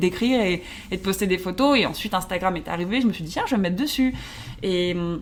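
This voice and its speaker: Through noticeable background noise, a woman speaks at a fairly quick pace with ordinary pitch variation. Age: 30s. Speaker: social media influencer. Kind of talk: casual chat. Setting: hotel room.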